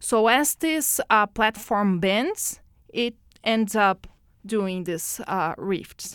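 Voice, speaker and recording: A woman with a Portuguese accent speaks very slowly, with a fairly high pitch and ordinary variation. The recording is very clean, with a silent background and a dry, close sound with no echo. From Brazil. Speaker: oceanographer. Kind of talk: interview. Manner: halting.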